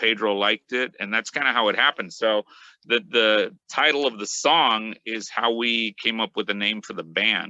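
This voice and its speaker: The tone is bright and sharp, with fairly even intonation at a moderate pace. The sound is dry and close with no echo. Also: man. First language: Spanish. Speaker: metal guitarist. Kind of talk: interview. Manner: halting, many fillers. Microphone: connection cutting out.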